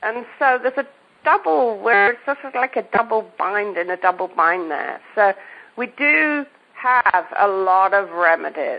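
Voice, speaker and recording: Speaking with an English accent, a woman with a medium-pitched voice talks at a fairly slow pace with lively intonation. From England. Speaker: homeopath. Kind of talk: podcast interview. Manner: halting, self-correcting.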